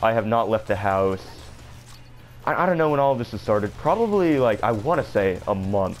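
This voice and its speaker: Music plays in the background. A man speaks at a medium pitch with lively intonation. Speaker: gaming youtuber. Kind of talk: gameplay commentary. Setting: at home. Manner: halting, repeats words.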